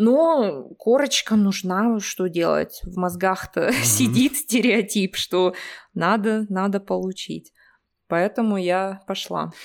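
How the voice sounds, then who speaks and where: A woman speaking at a very slow pace, with lively intonation. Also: medium pitch for a woman. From Russia, Omsk. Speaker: Russian language teacher. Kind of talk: casual interview. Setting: remote call.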